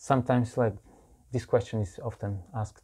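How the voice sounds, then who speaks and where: A man's somewhat breathy, dark and mellow voice with a Bulgarian accent, at a moderate pace in a very clean recording with a silent background. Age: 40s. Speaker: monk and preacher. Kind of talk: interview.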